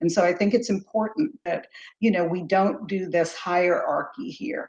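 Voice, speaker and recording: The speech moves at a moderate pace with a somewhat breathy quality. Intonation is lively. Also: woman, medium pitch for a woman. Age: 60s. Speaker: psychic medium. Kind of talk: casual chat.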